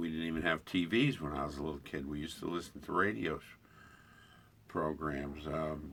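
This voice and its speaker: Very deep and low, a man's voice moves at a fairly quick pace. The intonation stays fairly even. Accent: American. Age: 70s. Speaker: army veteran. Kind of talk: interview. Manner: halting.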